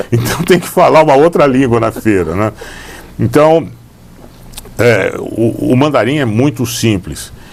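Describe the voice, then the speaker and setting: A man speaks at a fairly slow pace with lively intonation and long, frequent pauses. His pitch is medium, and there is noticeable background noise. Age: old. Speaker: lawyer. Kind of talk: interview. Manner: halting.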